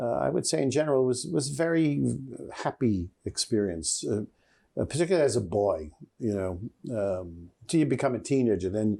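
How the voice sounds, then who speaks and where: Over a very clean recording with a silent background, a man with a New York accent talks at a moderate pace in a dark, mellow tone with lively intonation. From New York City, the Bronx. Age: 70s. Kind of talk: interview. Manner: halting, many fillers.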